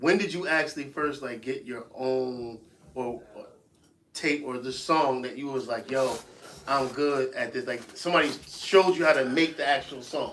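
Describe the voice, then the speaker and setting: With an American accent and an ordinary speaking voice, a man talks at a medium pitch and moderate pace, with ordinary pitch variation and big swings in loudness. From US Northeast, Buffalo, New York. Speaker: podcast host. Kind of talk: podcast interview. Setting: live-streamed podcast studio.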